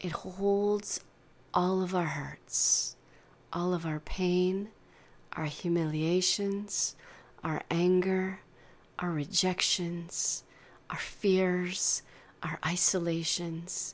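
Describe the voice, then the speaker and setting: A woman speaks in a gentle, soothing tone at a very slow pace, her intonation monotone and flat, with long, frequent pauses. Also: fairly low pitch for a woman. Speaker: meditation guide. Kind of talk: guided meditation. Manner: slow, soothing, calm; soft-spoken, gentle, unhurried.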